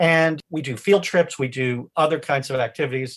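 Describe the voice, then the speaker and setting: At a moderate pace and with ordinary pitch variation, the voice sounds somewhat breathy. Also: man. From New England. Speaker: lawyer and charity founder. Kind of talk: casual interview.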